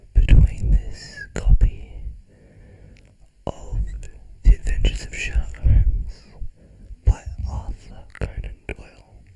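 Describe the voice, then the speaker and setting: The voice is whispering at a very slow pace. Long pauses come often. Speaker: ASMR creator. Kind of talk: ASMR whispered book reading and triggers. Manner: soft, whispered.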